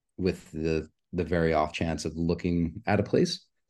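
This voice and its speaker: A man's very deep, low voice with a dark, mellow tone and an American accent, at a moderate pace against a quiet background. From New York. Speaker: sunglasses product marketing manager. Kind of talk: casual interview.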